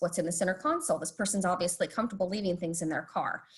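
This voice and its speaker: The voice belongs to a woman. It sounds somewhat breathy. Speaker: police community engagement specialist. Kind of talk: online presentation. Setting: video call. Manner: fast.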